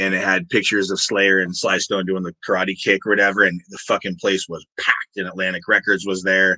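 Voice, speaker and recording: A man talks at a fairly quick pace with hardly any pauses. The sound is dry and close, with no echo. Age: 50s. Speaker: metal musician and songwriter. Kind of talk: interview. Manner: casual, filler-heavy.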